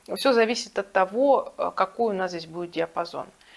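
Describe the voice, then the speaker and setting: The speaker here is a woman. She talks at a moderate pace. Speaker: vocal teacher. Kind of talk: tutorial. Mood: calm, explanatory. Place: home room. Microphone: lapel.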